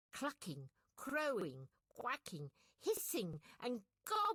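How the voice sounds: The clip has a natural reading voice against a quiet background.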